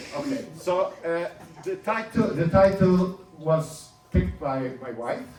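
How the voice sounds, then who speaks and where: Over music in the background, a man with a non-native accent speaks at a very slow pace, his high voice moving in very wide pitch swings. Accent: foreign. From Turkey. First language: Ladino. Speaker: speaker sharing his life story. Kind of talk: personal talk to an audience.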